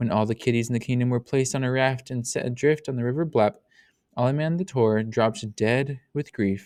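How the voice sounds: A natural reading voice comes through with a quiet background behind it.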